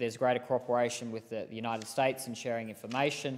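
A man at a very fast pace with flat, monotone intonation. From Australia. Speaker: politician. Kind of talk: parliamentary speech. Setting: parliament chamber. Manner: formal. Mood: serious, earnest. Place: hall.

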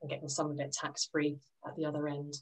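A woman's very deep, low voice at a fairly quick pace over a quiet background. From London, England. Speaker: financial advisor; presenter. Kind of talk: presentation to a workshop group. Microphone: video call.

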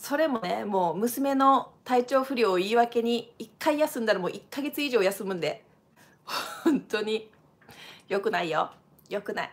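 Speaking at a fairly slow pace, a woman with a fairly high pitch uses an animated tone and lively intonation. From Japan. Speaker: dancer and channel host; channel host. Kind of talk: live stream casual talk. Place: home room. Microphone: webcam.

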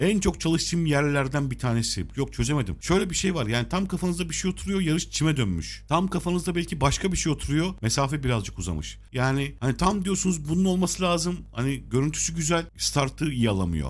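In a very clean recording with a silent background, a man's somewhat breathy voice moves at a fairly quick pace with very wide pitch swings. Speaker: horse racing tipster. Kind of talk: tutorial.

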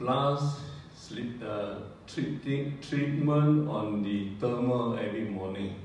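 A man talks at a very slow pace with medium pitch and ordinary pitch variation. Strong room echo and light background noise surround the voice. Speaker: retiree giving product testimonial. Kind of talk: testimony. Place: hall.

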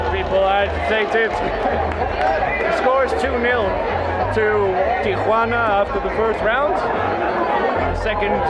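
Music plays in the background as a man speaks at a fairly slow pace. His pitch variation is ordinary. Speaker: travel vlogger. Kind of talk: casual vlog chat. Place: stadium. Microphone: phone near.

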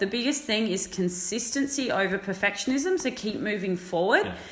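Amid noticeable background noise, a woman's voice swings very widely in pitch. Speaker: fitness coach. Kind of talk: casual chat.

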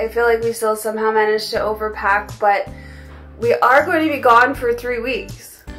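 Over faint music in the background, a woman speaks at a moderate pace with fairly even intonation. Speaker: travel vlogger. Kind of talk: casual vlog chat. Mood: cheerful, chatty. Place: home room. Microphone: phone near.

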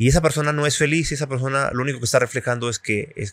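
A man talking at a very fast pace, dry sound with no echo, quiet background. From Mexico. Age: 40s. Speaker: journalist and former magazine editor; journalist. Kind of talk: interview conversation. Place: cafe. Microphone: studio mic.

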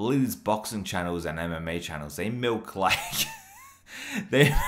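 The man's pace is moderate. Lively intonation runs through his speech. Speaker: reaction streamer. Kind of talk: casual commentary. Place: home room.

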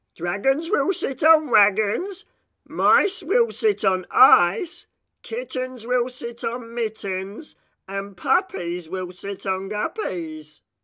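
Slow and lively in intonation, a man performs a put-on character voice that is high-pitched with a bright, sharp tone.

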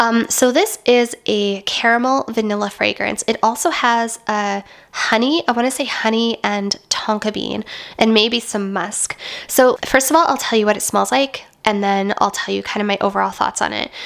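Noticeable background noise sits behind a woman whose pitch variation is ordinary. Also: fairly high pitch for a woman, moderate pace. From Western Canada. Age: 30s. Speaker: beauty and lifestyle youtuber. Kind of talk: product review vlog. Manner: chatty, conversational.

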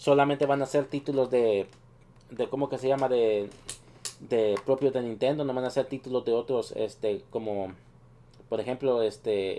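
A man speaks at a moderate pace in a medium pitch, his intonation fairly even. He leaves long pauses, and often. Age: 30s. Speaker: gaming youtuber. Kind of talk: video commentary. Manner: halting, many fillers.

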